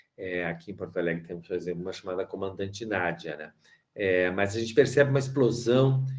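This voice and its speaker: Ordinary pitch variation from a man talking at a moderate speed. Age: 60s. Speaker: education professor. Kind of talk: lecture. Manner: halting, many fillers.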